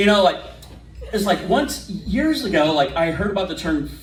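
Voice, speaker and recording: There is noticeable background noise behind a man's high-pitched voice. He talks at a moderate pace with very wide pitch swings. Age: 40s. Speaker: stand-up comedian. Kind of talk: stand-up.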